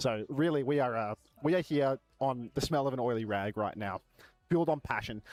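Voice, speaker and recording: Loud and fairly high-pitched, a man speaks with an Australian accent and very wide pitch swings. The sound is dry and close, with no echo. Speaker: esports co-streamer. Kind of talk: live stream chat. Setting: venue booth behind glass at esports arena.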